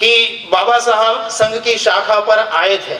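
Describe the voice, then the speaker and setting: Raised and projected with a Gujarati accent, a high-pitched man's voice comes through audible room echo and noticeable background noise. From Gujarat, India (Dholka near Ahmedabad). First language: Gujarati (speaking Hindi). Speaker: public official and speaker. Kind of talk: public speech. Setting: stage with audience. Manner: formal.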